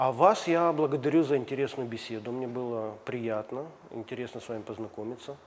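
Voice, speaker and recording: The man talks at a fairly quick pace in a medium pitch. His loudness swings widely while his pitch varies in an ordinary way. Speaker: TV host. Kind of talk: interview. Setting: gym. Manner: formal. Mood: polite, warm. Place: gym. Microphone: lapel.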